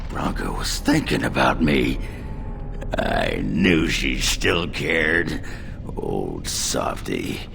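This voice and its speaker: A man in a put-on character voice, speaking at a very slow pace over loud background noise. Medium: video game. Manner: gruff, coarse.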